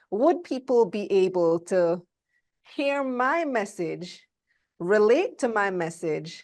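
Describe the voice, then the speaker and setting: A woman in a Belizean accent, medium pitch, very wide pitch swings, quiet background. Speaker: motivational speaker on wealth. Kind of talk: interview.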